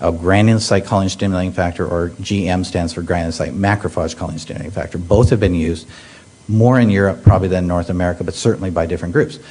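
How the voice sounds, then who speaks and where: A man talks at a very fast pace. His pitch is very deep and low, and there is noticeable background noise. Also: ordinary pitch variation. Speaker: pediatric hematologist oncologist, professor. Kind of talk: medical conference talk. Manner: halting, many fillers.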